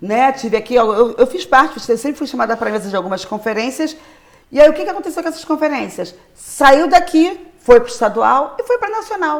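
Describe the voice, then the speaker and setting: Her voice is high for a woman and swings very widely in pitch. She speaks in an animated tone at a fairly quick pace. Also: big swings in loudness. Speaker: popular educator, solidarity economy worker. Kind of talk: interview. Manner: fast.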